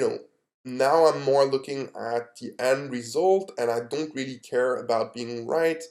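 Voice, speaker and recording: With fairly even intonation, a man speaks at a very slow pace. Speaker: day trading YouTuber. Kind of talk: casual video recap. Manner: careful, trying to speak clearly.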